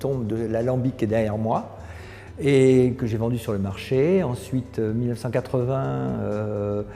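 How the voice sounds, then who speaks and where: Music plays in the background as a man talks at a fairly slow pace, with a medium pitch and ordinary pitch variation. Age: 60s. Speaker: company founder. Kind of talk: interview monologue. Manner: hesitant, many fillers.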